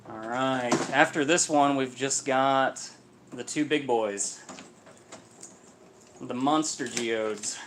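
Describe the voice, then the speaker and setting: A very slow pace with long, frequent pauses, fairly even intonation and noticeable background noise. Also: man, medium pitch for a man. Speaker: mineral seller cracking geodes on livestream. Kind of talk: casual livestream chat. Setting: livestream. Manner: loud at times while checking chat.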